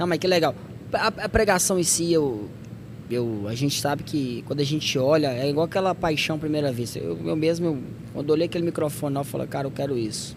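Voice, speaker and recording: Against noticeable background noise, a man talks fairly quickly with a fairly high pitch and ordinary pitch variation. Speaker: podcast host. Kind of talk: casual chat.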